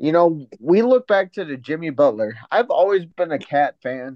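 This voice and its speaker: This is an unremarkable speaking voice. Its intonation is lively. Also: man. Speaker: sports podcast co-host. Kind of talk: casual sports talk podcast.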